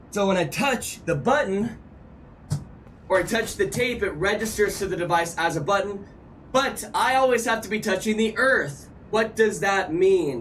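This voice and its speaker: A man's high voice at a moderate pace, with ordinary pitch variation and audible room echo. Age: 30s. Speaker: gaming streamer. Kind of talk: live stream chat and gameplay; tutorial. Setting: live stream with on-screen chat. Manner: animated.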